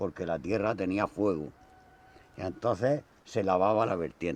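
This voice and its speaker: A man speaks at a fairly slow pace in a very deep, low voice, with ordinary pitch variation. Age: 70s. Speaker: elderly villager showing old farm tools. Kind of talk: casual chat.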